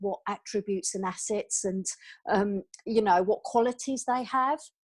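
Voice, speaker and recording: The speaker has a British accent, heard over a quiet background. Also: woman. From England. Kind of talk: interview.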